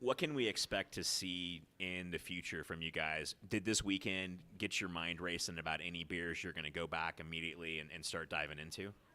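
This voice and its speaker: The tone is bright and sharp, with fairly even intonation. It moves at a fairly quick pace with hardly any pauses. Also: man, very deep, low pitch for a man. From Georgia, US South. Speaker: podcast host. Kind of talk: interview. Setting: live stream at beer festival.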